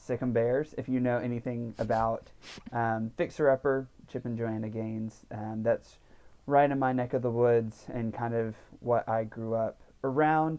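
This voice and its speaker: In a Texan accent, a man speaks fairly slowly at a medium pitch with monotone, flat intonation. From Central Texas, near Waco. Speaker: seminary student. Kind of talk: casual chat. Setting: studio.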